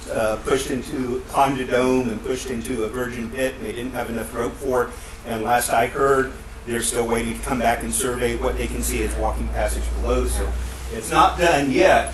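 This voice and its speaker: A man's fairly quick speech with noticeable background noise and audible room echo. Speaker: university professor and caver giving a talk. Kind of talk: conference presentation. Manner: loud; halting, many fillers. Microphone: speaking into a face mask, may be muffled.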